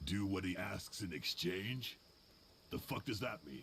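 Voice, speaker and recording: A raspy, put-on character voice delivers its lines at a moderate pace. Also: man, fairly low pitch for a man. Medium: video game. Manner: blunt, suspicious.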